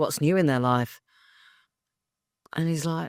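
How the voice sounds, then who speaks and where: Speaking at a very slow pace, a woman with a fairly low pitch talks in an English accent. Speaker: actor and spiritual coach. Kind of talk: interview. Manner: speaking in low tones; animated.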